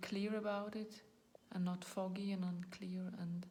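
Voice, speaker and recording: Speaking very slowly with a non-native accent, a woman keeps a medium pitch and a flat, monotone delivery over audible room echo. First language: not English. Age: 40s. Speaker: video blogger. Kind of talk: personal talk to camera. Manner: halting, searching for words.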